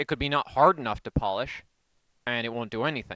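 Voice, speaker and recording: American-accented speech from a man, the sound dry and close with no echo. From New York. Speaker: science channel host. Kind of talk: casual experiment tutorial chat. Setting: basement, underground. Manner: rambling, casual.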